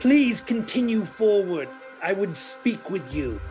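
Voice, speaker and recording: Clear music plays in the background. A man uses a put-on character voice, high-pitched with very wide pitch swings, at a fairly slow pace. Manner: polite but ominous, formal.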